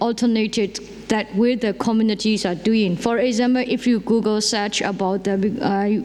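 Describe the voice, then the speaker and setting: A woman's fairly high voice at a moderate pace, with fairly even intonation, very even loudness and hardly any pauses, over noticeable background noise. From Myanmar, Karen community. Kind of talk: conference panel talk. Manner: halting, many fillers and restarts.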